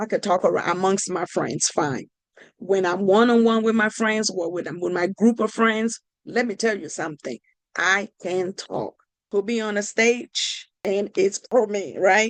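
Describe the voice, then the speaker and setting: A woman speaks in a Nigerian accent at a fairly slow pace, with an animated tone and ordinary pitch variation. The sound is dry and close, with no echo. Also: medium pitch for a woman. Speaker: podcast host, life coach. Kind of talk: motivational talk. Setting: podcast recording.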